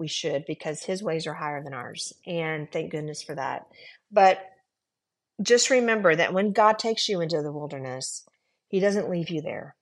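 A woman with an American accent speaks in a plain, everyday voice, her fairly low pitch carried by lively intonation. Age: 50s. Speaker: executive assistant. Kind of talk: testimony.

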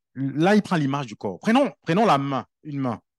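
Animated in tone, a man moves at a moderate pace with very wide pitch swings. His voice has a dry, close sound with no echo over a quiet background. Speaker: preacher. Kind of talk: sermon. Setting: church. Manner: conversational, animated preaching with everyday analogies and repetition.

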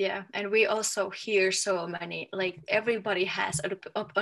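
With a Finnish accent, a woman speaks in a medium pitch with ordinary pitch variation. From Finland. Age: 30s. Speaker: authenticity coach, former professional volleyball player. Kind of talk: interview.

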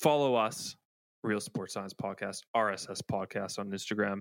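Against a very clean, silent background, a man with a normal speaking voice talks in a fairly low pitch with ordinary pitch variation. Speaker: podcast host. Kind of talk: casual interview chat. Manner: excitable.

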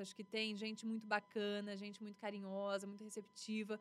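A woman speaks in an ordinary speaking voice. Her pitch is fairly high, and her pace is moderate. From western São Paulo state, Brazil. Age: 30s. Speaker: TV news anchor and journalist. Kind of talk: casual interview.

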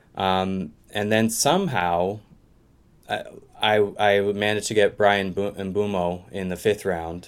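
In a Canadian Maritime accent, a man speaks fairly slowly with fairly low pitch and fairly even intonation. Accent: Canadian, Maritimes. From Eastern Canada, Maritimes. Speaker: English teacher, fantasy football manager. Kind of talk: casual interview chat. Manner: halting, many fillers.

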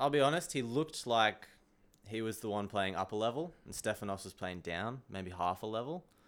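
A man with an Australian accent and a medium pitch speaks at a moderate pace with lively intonation in a very clean recording with a silent background. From Australia, Sunshine Coast. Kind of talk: casual chat. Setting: studio.

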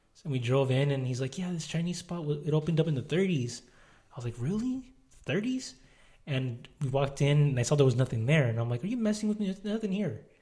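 A man speaks very fast with a fairly high pitch and lively intonation. His tone is dark and mellow, somewhat breathy. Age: 20s. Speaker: podcast co-host. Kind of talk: casual chat.

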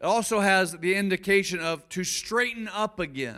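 High-pitched male voice, raised and projected, bright and sharp in tone, on a very clean recording with a silent background. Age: 50s. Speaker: pastor. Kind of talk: sermon. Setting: church.

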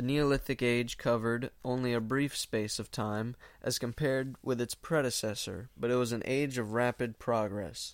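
Delivered at a moderate pace, this is an unremarkable speaking voice with fairly even intonation. The recording is very clean, with a silent background. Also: man, medium pitch for a man, hardly any pauses. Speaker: podcast host reading old book. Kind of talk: casual podcast intro/outro, then literary audiobook-style reading of an old history text. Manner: casual, filler-heavy, self-deprecating, chatty in own talk; steady, measured, formal reading pace with occasional stumbles over hard words.

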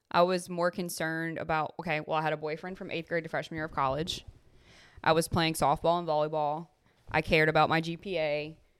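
A woman with a very deep, low pitch talks at a very fast pace on a very clean recording with a silent background. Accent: Louisiana. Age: 20s. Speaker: podcast co-host. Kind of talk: casual chat between two friends. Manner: animated, chatty.

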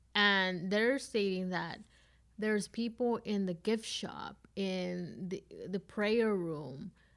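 In a very clean recording with a silent background, a woman speaks very slowly at a medium pitch with ordinary pitch variation. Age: 20s. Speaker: HR worker and podcast co-host. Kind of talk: casual chat.

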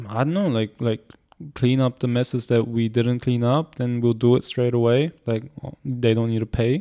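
A man speaks in a dark, mellow tone at a medium pitch. The sound is dry and close with no echo, over a quiet background. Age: 20s. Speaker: podcast co-host and entrepreneur. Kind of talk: casual chat. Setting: office.

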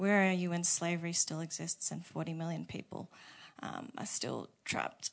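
A plain, everyday voice at a moderate pace with fairly even intonation, over a quiet background. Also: woman, fairly low pitch for a woman. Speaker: prayer leader. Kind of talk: prayer. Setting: church.

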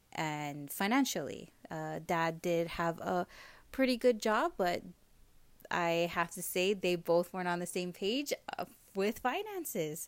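A woman with a Hawaiian accent speaks at a fairly low pitch and a fairly slow pace, leaving long, frequent pauses. Her intonation is lively, and the recording is very clean with a silent background. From Hawaii, O'ahu (Kaneohe, Honolulu). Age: 30s. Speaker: digital marketing entrepreneur. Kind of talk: interview.

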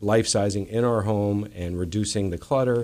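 A man with an unremarkable speaking voice, fairly low in pitch, uses lively intonation on a very clean recording with a silent background. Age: 50s. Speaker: moving company owner. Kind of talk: radio interview. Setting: radio studio.

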